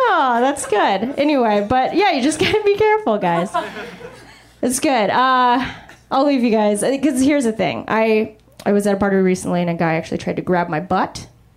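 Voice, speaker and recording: Her voice is high-pitched, with very wide pitch swings but very even loudness. The woman is recorded with audible room echo and noticeable background noise. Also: moderate pace. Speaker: stand-up comedian. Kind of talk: stand-up. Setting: stage with audience.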